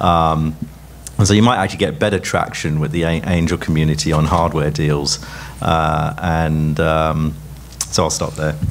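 Light background noise sits behind a man with a very deep, low pitch. He speaks at a moderate pace with fairly even intonation. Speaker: tech entrepreneur and investor. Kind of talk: panel discussion. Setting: stage with audience. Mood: relaxed, friendly, smiling. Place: hall. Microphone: handheld.

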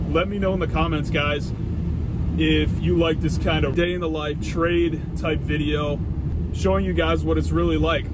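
Through loud background noise comes a man's voice, dry and free of echo. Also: moderate pace. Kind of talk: casual vlog chat. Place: car. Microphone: phone near.

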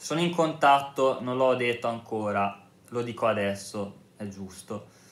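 There is audible room echo as a man talks at a fairly slow pace with ordinary pitch variation. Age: 30s. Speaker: YouTuber, ex-Jehovah's Witness; vlogger. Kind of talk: casual vlog monologue. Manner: halting. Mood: earnest, calm, persuasive. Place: home room. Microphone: phone near.

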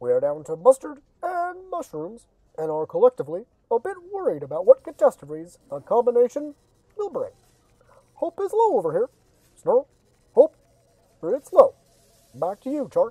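The speaker uses a put-on character voice with a fairly high pitch. The pace is moderate, with long, frequent pauses. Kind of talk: mock on-location news report. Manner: gloomy, dramatic.

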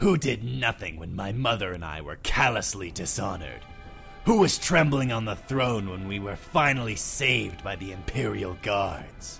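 Clear music plays in the background. A man speaks at a moderate pace with a fairly low pitch. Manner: cold, contemptuous, menacing.

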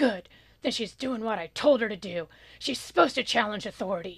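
A gruff, put-on character voice at a fairly quick pace, captured in a very clean recording with a silent background. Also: female-sounding voice, fairly high pitch for a woman. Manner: stern, blunt.

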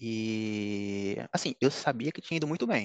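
A man speaks at a medium pitch, the sound dry with no echo. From Brazil, Pernambuco (Recife); Pernambuco, Brazil. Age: 30s. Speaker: top-ranked civil service exam candidate, economist; candidate. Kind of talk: interview. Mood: relaxed, smiling. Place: home room. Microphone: headset.

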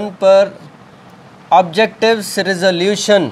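Speaking slowly, a man uses a high pitch. His intonation stays fairly even.

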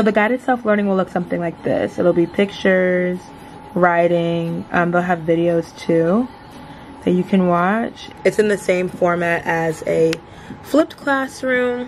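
Fairly slow speech from a woman at medium pitch, ordinary in pitch variation, noticeable background noise behind it. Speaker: medical student vlogger. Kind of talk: casual vlog. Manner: quiet, trying not to wake roommate.

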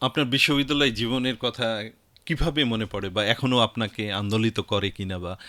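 This is an ordinary speaking voice from a man. His pitch sits in the medium range with ordinary variation. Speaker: radio host and station chief. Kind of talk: radio interview. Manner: formal.

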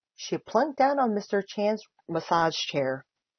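Lively intonation in plain reading aloud, quiet background behind it

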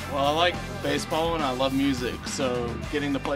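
Clear music fills the background. Over it, a man speaks very fast. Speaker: stadium music DJ at the ballpark. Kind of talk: casual interview answer to camera. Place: office. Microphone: handheld.

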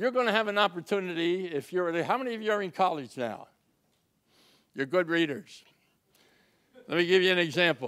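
Talking at a fairly quick pace against a quiet background, a man with an American accent uses a high pitch and lively intonation. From Philadelphia. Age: 90s. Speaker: WWII merchant marine veteran, public speaker. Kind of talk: speech to audience. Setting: stage with audience. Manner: animated. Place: stage. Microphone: handheld.

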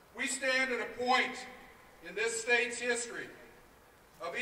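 A man's extremely high voice, with light background noise and audible room echo. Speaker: union executive director. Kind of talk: impassioned rally speech with rhetorical questions. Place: street.

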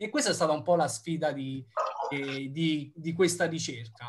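Somewhat breathy, a man's voice moves along at a moderate pace. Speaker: researcher. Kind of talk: lecture. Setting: video call. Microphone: video call.

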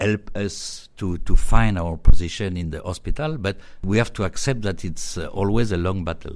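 A man with a French accent speaks at a moderate pace and a fairly low pitch. His pitch varies in an ordinary way, while his loudness swings widely. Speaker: radiology professor. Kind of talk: interview. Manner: hesitant with fillers.

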